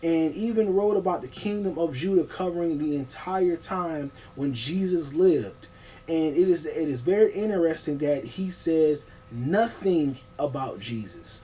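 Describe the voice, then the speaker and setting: Over music in the background, a man with a high voice speaks with lively intonation. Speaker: online video creator. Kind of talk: casual video monologue on history. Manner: fast; halting, many fillers.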